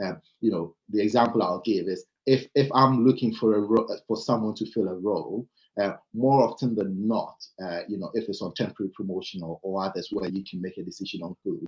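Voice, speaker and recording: The speaker has a Ghanaian accent and a fairly quick pace. Pitch varies in an ordinary way. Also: man, fairly low pitch for a man. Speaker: panel speaker on leadership. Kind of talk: panel talk. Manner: many filler words and hesitations.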